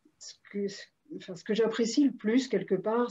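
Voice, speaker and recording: This somewhat breathy voice has a dark, mellow tone and moves at a fairly slow pace with ordinary pitch variation. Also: woman. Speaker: interviewer and coach. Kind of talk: interview, casual and warm. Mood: warm, admiring. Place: home room. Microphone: video call.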